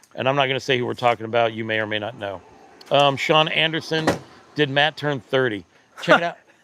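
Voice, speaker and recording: Talking at a very fast pace, a man with a medium pitch uses ordinary pitch variation against noticeable background noise. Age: 50s. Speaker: e-bike reviewer, livestream host. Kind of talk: casual livestream chat. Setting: live stream.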